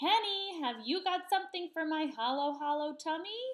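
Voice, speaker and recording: A squeaky, put-on character voice from a woman, extremely high in pitch, raised and projected, with lively intonation at a moderate pace. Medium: read story.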